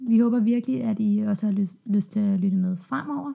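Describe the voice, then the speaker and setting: With a dark, mellow tone, a woman's somewhat breathy voice keeps a moderate pace and ordinary pitch variation. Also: very clean recording, silent background. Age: 30s. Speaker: doctor, podcast co-host. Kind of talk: conversational podcast intro.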